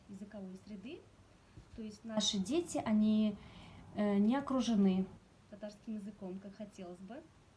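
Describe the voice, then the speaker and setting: In a Tatar accent, a woman speaks at a fairly high pitch with ordinary pitch variation and a dark, mellow tone. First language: Tatar (speaking Russian). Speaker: Tatar language teacher. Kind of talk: presentation. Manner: hesitant with filler sounds.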